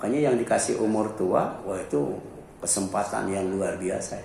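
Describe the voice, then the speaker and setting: A man speaks in a fairly low voice, with audible echo from the room. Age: 60s. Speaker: Islamic preacher. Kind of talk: sermon. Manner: conversational, frequent filler 'ya'.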